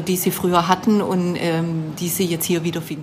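A woman with a Swabian accent talks at a moderate pace in a fairly low pitch over noticeable background noise. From Baden-Württemberg, Swabia. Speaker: shop owner. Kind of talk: interview. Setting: in a shop.

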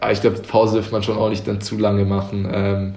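Audible room echo around a man's fairly low voice, flat and monotone, at a moderate pace. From Switzerland, near Zurich (Uster). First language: Swiss German (speaking German). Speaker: handball player. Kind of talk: podcast interview. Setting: at home. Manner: hesitant, many fillers.

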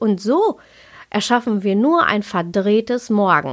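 In a very clean recording with a silent background, a woman talks at a very slow pace, her fairly high voice carrying lively intonation. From Ruhr area, Germany. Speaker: yoga and Ayurveda podcaster. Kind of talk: podcast monologue. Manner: laughs often.

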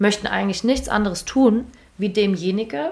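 Lively intonation marks a normal speaking voice delivered at a moderate pace. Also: woman. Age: 20s. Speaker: performance coach. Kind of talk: casual interview. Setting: in person in an office.

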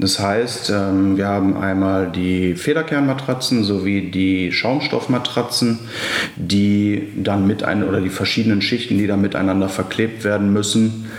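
Amid noticeable background noise and audible room echo, a man talks fairly slowly at a fairly low pitch, with fairly even intonation and very even loudness. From Ruhr area, Essen (Germany). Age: 20s. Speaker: young family business successor. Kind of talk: podcast interview. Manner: halting, many filler sounds.

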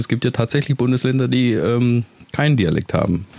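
With a Swabian accent, the speaker talks at a fairly quick pace against noticeable background noise. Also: man. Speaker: podcast host. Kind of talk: casual monologue.

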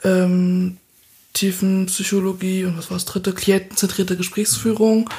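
A dark, mellow tone comes with a somewhat breathy quality. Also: woman. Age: 20s. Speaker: master's student. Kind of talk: casual interview.

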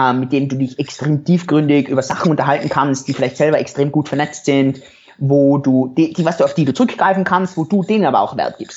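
A man with an unremarkable speaking voice, fairly high in pitch, with ordinary pitch variation at a fairly quick pace. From Europe. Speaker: entrepreneur and former doctor. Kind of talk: interview.

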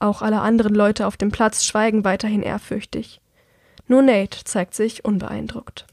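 The sound is dry and close, without echo. A woman speaks at a moderate pace in a fairly high pitch with monotone, flat intonation. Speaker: audiobook podcast narrator. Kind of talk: reading aloud.

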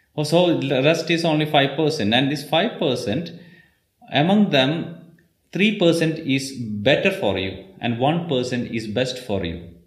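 Lively intonation marks this man's speech, which carries audible room echo. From India, Kerala. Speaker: Ayurveda practitioner. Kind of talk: interview.

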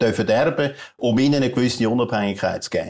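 A man is talking. The pitch of his voice is medium. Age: 60s. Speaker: entrepreneur and author. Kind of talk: interview. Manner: halting, many fillers.

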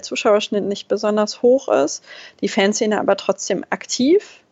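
A woman speaks in a plain, everyday voice. Her pitch is medium, with ordinary pitch variation. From Lower Saxony, Germany (Braunschweig). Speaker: football fan and club supporting member. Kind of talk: casual chat.

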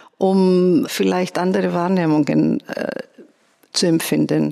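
In a Greek accent, a woman speaks fairly slowly at a medium pitch. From Greece, Athens. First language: Greek (speaking German). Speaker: composer and conductor. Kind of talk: interview. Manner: somewhat halting.

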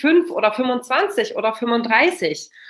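This woman speaks with a high pitch. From Germany, Kassel. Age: 30s. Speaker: family mentor. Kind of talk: casual interview. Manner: animated.

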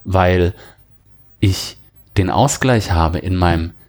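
A man speaks in a very deep, low voice that is somewhat breathy. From Germany, near the French border. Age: 40s. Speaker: software and cloud specialist. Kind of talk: interview about personal burnout experience. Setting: studio, sitting across from the host.

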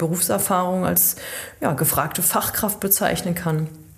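A woman's fairly low voice at a fairly slow pace, fairly even in intonation, with audible room echo and noticeable background noise. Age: 30s. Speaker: chamber of commerce training advisor. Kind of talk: casual chat.

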